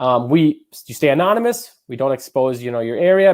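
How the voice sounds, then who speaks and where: A man's medium-pitched voice with very wide pitch swings. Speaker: webinar presenter for real estate brokerage. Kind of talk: webinar presentation. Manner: fast; filler-heavy, repetitive.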